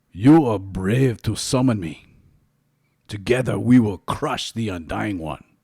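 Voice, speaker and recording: A man's put-on character voice, rumbling and fairly low in pitch, at a fairly slow pace. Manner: imposing.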